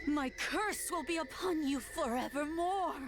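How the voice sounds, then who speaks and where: A woman uses a put-on character voice at an extremely high pitch, speaking fairly slowly over loud background noise. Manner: spooky menacing.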